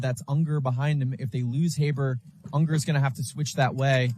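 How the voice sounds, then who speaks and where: A man's somewhat breathy, fairly high voice with fairly even intonation. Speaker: paintball commentator. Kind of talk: live commentary. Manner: lowered voice, quieter.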